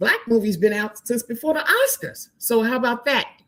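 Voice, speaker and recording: A woman speaks in a fairly high, somewhat breathy voice with an animated tone. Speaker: movie review podcast host. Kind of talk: live stream chat. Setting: live stream. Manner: fast.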